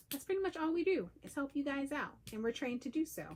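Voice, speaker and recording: A woman speaks quietly with lively intonation. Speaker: peer breastfeeding counselor. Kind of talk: live stream talk. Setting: livestream at home. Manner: lowered energy, quieter.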